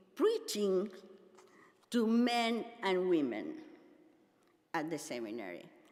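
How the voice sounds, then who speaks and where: A woman with a Spanish accent and a fairly high pitch talks at a fairly slow pace with very wide pitch swings and vocal fry, with audible room echo. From Argentina. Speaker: pastor and seminary teacher. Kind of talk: conference keynote address.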